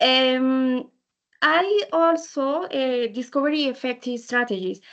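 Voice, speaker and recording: In a Spanish accent, the speaker talks at a very slow pace with ordinary pitch variation. The background is quiet. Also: woman. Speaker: English learner. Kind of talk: student podcast presentation. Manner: halting, many fillers.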